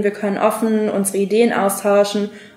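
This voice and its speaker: A woman speaks at a medium pitch in a monotone, flat intonation. Noticeable background noise sits behind her. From Germany, Frankfurt am Main. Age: 20s. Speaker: diplomat. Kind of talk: interview. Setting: studio.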